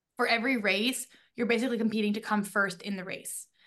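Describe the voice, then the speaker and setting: An ordinary speaking voice moves at a fairly quick pace. The intonation stays fairly even. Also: woman. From grew up abroad, mostly UK, moved to US 2007. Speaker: podcast co-host, guest. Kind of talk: casual chat.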